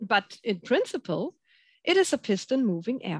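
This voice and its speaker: A woman's fairly high, somewhat breathy voice at a moderate pace, with a dry, close sound, no echo and a quiet background. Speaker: application specialist scientist. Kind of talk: webinar presentation. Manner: hesitant, frequent fillers.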